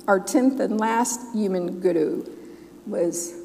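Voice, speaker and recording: A woman speaks with an American accent. Music plays in the background. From US South, Memphis. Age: 60s. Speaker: Sikh minister. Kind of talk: sermon. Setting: church with congregation. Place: church.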